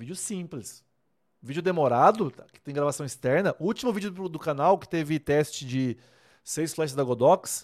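In a very clean recording with a silent background, a man with an animated tone speaks at a moderate pace, fairly high in pitch with ordinary pitch variation. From Brazil, Rondônia (Vilhena). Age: 30s. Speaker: wedding photographer and online mentor. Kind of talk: casual livestream talk to viewers. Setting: live stream. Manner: animated, informal.

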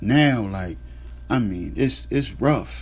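Speaking at a fairly slow pace, a man with a very deep, low voice is heard with audible room echo. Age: 30s. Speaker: podcast host. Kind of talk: casual monologue. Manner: halting, filler-heavy.

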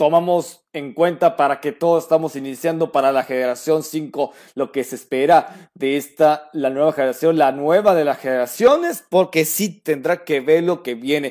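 With a plain, everyday voice, this man speaks at a moderate pace and a fairly high pitch. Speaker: podcast host. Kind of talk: casual chat.

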